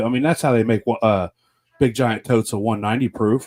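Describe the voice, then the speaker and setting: A man talks at a fairly quick pace in a dark, mellow tone. The sound is dry and close, with no echo. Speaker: podcast host. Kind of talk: casual podcast talk.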